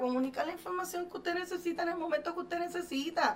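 A woman at a very fast pace, with ordinary pitch variation and noticeable background noise. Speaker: hypnotherapist and show host. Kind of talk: motivational talk.

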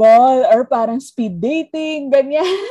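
Speaking fairly slowly, this woman has a dark, mellow tone. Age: 30s. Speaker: podcast co-host. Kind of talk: casual chat.

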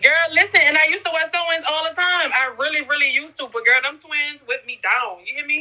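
Raising and projecting her high voice, a woman talks at a very fast pace with lively intonation and hardly any pauses, against noticeable background noise. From New Orleans, Louisiana. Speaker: entrepreneur. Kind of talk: casual chat.

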